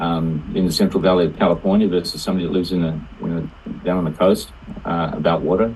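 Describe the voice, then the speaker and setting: A man with an Australian accent talks at a very fast pace with a very deep, low pitch. Noticeable background noise sits behind him. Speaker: participant in online group call. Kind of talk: casual discussion. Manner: halting, many fillers.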